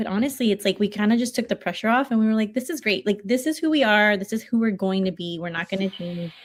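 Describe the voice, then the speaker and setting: Somewhat breathy, the voice moves at a very fast pace with hardly any pauses and ordinary pitch variation, in a very clean recording with a silent background. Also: woman. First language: Spanish. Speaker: podcast co-host and coach. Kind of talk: casual chat. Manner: animated.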